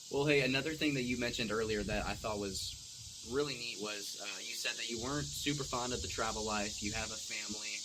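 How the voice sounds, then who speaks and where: Talking at a fairly quick pace with hardly any pauses, a man with a medium pitch and ordinary pitch variation is heard over noticeable background noise. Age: 20s. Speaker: podcast host. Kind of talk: casual chat.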